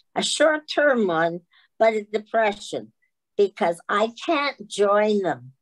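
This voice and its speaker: A woman talks at a very slow pace. Her voice has a medium pitch and lively intonation. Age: 90s. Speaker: long-term care resident leader. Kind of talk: casual discussion. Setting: video call webinar.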